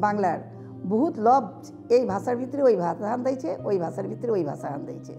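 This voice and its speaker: A woman with a Dhaka accent speaks in a fairly high voice with very wide pitch swings. Music plays in the background. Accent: Old Dhaka dialect. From Old Dhaka, Bangladesh. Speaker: writer. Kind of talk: interview answer.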